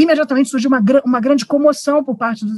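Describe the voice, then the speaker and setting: Recorded with a dry, close sound and no echo, a woman speaks at a high pitch with ordinary pitch variation. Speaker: theatre director. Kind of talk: online panel discussion. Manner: hesitant, many fillers.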